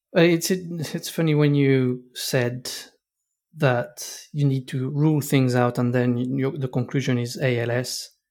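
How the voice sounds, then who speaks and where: This is a plain, everyday voice. It moves at a fairly slow pace with fairly even intonation. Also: man, medium pitch for a man. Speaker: podcast host. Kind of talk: interview conversation.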